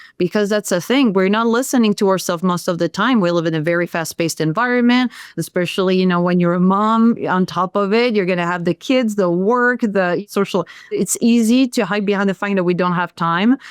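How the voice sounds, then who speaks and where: Woman with a French accent, hardly any pauses, ordinary pitch variation, very even loudness and a dry, close sound with no echo. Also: medium pitch for a woman. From France. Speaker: sound healer. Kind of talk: podcast interview.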